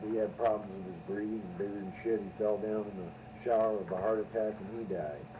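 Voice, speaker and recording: Audible room echo and noticeable background noise surround a man with an American accent, who speaks at a moderate pace, a fairly low pitch and fairly even intonation. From California, Ventura. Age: 60s. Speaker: storyteller on homemade tape. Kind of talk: casual storytelling. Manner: casual, rambling with fillers.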